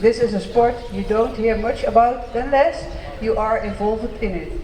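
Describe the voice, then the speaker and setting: A man with a Dutch accent talks at a moderate pace and an extremely high pitch. Noticeable background noise and audible room echo fill the recording. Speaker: local politician. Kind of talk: ceremony speech.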